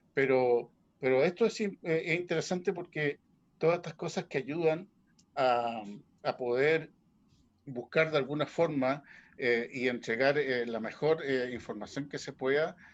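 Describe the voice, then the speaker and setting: This man's fairly high voice rises and falls in a lively way as he talks at a moderate pace. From Chiloé, southern Chile. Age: 60s. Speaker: folk music practitioner. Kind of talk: panel talk at a book launch. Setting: video call. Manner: halting, many fillers.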